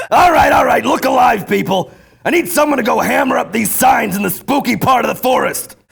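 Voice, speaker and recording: A man uses a put-on character voice with an extremely high pitch. He talks at a fairly quick pace with lively intonation. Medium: stage. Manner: gruff, bossy.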